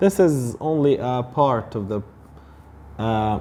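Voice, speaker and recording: The voice has a dark, mellow tone and an Arabic accent. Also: man. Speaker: English teacher. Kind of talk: tutorial.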